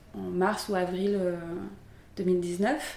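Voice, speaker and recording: A woman talks in a space with audible room echo, and noticeable background noise can be heard as well. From southern France, Aix-en-Provence. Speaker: pottery studio founder. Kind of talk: interview. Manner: halting, many fillers and repeats.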